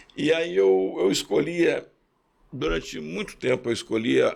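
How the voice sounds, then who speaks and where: Using a medium pitch with very wide pitch swings, a man speaks at a fairly slow pace with vocal fry. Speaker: executive and speaker. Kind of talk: interview.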